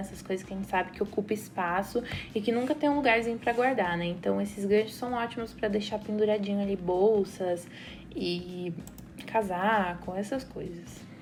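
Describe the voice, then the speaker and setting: A woman talks at a moderate pace while noticeable background noise continues. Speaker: architect / interior designer. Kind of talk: tutorial.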